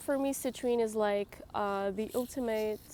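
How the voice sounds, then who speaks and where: Speaking with a French accent, a woman has a fairly high pitch and ordinary pitch variation. Her pace is very slow. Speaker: tarot reader YouTuber. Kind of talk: tarot reading tutorial to camera. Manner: hesitant, many fillers.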